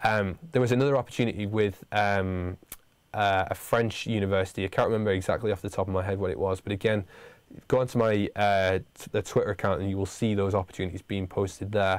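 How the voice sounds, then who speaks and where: A man with a northern English accent talks at a very fast pace, with a fairly low pitch and fairly even intonation. The recording is very clean, with a silent background. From northern England. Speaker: university lecturer. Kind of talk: livestream Q&A for students. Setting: studio livestream. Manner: halting, many fillers.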